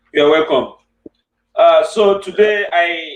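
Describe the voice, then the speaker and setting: This is a man speaking. He has a Nigerian accent. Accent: Nigerian Igbo English. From Nigeria, Igbo land. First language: Igbo. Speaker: online show host. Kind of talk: interview.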